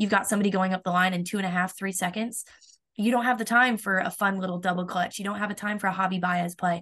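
A woman with an American accent at a very fast pace and medium pitch, flat and monotone, over a quiet background. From Florida. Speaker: college softball pitcher. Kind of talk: interview.

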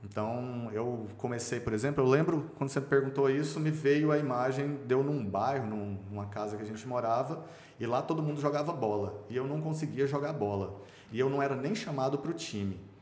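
A man talking at a fairly quick pace with ordinary pitch variation, amid audible room echo and noticeable background noise. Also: medium pitch for a man. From Brazil, Goiânia (Goiás). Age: 40s. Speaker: businessman and swimmer. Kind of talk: podcast interview, personal life story.

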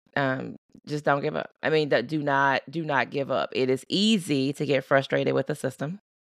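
A woman's very deep, low voice with vocal fry and an American accent, at a moderate pace with ordinary pitch variation, dry and close with no echo. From US South, Baton Rouge, Louisiana. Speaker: psychiatrist. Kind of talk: casual interview.

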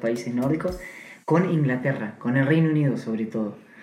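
There is noticeable background noise around a man's voice. The room echo is audible too. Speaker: podcast co-host. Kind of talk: casual interview.

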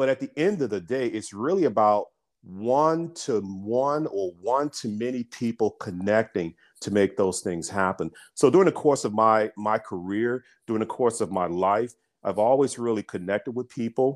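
Recorded very cleanly with a silent background and a dry, close sound with no echo, a man with an ordinary speaking voice and an American accent talks at a moderate pace and medium pitch with lively intonation. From US South, Birmingham, Alabama. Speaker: business founder and CEO. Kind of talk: interview conversation.

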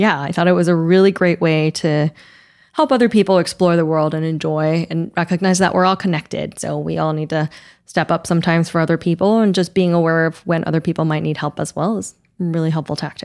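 On a very clean recording with a silent background, a woman with a fairly low pitch talks very fast in fairly even intonation. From Taiwan. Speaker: travel writer. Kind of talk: casual chat. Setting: studio.

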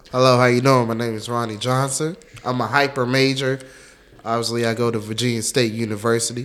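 A man's medium-pitched, monotone, flat delivery at a fairly quick pace, over noticeable background noise. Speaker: college student. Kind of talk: casual interview. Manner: halting.

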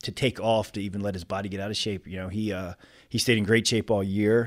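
With a normal speaking voice, a man of fairly low pitch talks at a fairly quick pace with fairly even intonation in a very clean recording with a silent background. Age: late 30s. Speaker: fitness competitor. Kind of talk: casual chat.

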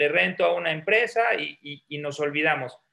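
With a bright, sharp tone and lively intonation, a man speaks fairly slowly in a fairly high pitch. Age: 40s. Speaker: entrepreneur, startup founder. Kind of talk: interview.

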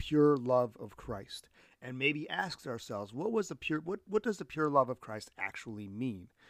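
A man speaks in a normal speaking voice at a medium pitch with an American accent and lively intonation. The moderate-paced speech comes in a very clean recording with a silent background. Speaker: podcast host, veteran and mental health professional. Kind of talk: solo reflective monologue on faith.

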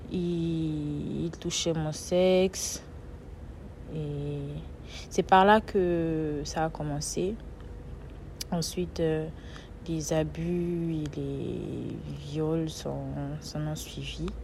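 A woman speaks at a very slow pace with long, frequent pauses. Audible room echo surrounds her voice. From Benin. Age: 20s. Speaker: podcast host and author. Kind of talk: personal testimony.

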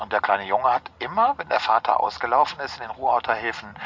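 Very fast delivery comes from a medium-pitched man. His intonation stays fairly even. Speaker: rickshaw city tour guide. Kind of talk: guided tour. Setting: outdoors on a rickshaw. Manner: vibrato from cobblestones.

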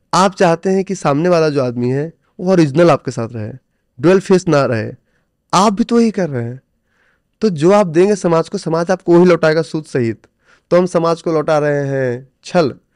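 The speaker talks at a moderate pace with lively intonation. The background is quiet. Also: man, high pitch for a man. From India, Bihar (village Noni). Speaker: stock trader and coach. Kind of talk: interview.

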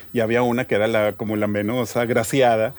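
Noticeable noise runs in the background. Over it, a man speaks fairly quickly. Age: 40s. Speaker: graphic designer. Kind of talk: casual interview.

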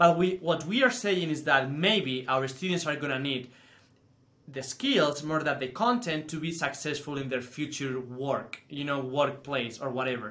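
Speaking with a Spanish accent, a man uses a fairly high pitch, a moderate pace and ordinary pitch variation. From Spain. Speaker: teacher. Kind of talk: casual chat.

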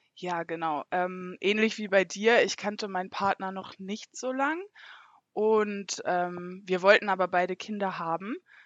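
In a normal speaking voice, a woman talks at a fairly slow pace and medium pitch, her intonation fairly even. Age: 20s. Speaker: mother sharing birth experience. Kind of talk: testimony.

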